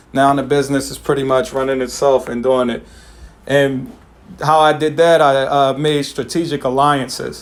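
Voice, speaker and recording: At a moderate pace, a man speaks in an ordinary speaking voice, fairly high in pitch with fairly even intonation. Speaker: financial coach presenting to clients. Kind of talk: online presentation wrap-up; informal explanation. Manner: casual with many fillers.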